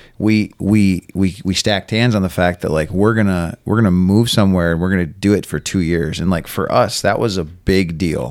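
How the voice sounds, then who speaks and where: This man's voice sits at a very deep, low pitch, and his intonation stays fairly even. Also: moderate pace. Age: 40s. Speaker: farmer. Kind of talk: casual chat.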